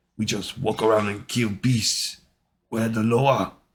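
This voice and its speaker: A man talks at a fairly slow pace in a put-on character voice of medium pitch. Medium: read story.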